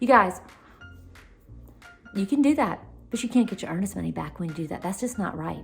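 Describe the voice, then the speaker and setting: With a Southern US accent, a woman speaks in an animated tone. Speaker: realtor. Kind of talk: casual advice vlog. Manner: fast.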